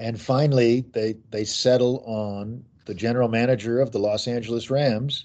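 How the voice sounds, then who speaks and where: A man speaks with an American accent in an ordinary speaking voice at a medium pitch. His intonation is fairly even and his pace fairly slow. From US Midwest, Kansas City. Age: 50s. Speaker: author. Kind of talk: interview.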